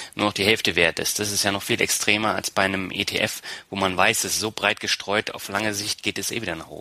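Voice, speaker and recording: Over noticeable background noise, a man with a fairly low pitch speaks at a fairly quick pace in a flat monotone, the sound dry and close with no echo. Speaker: podcast host. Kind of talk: interview.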